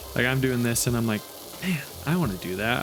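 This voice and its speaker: Mumbling at a very fast pace over noticeable background noise, a man speaks at a medium pitch with lively intonation. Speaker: YouTuber. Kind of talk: casual chat. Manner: halting.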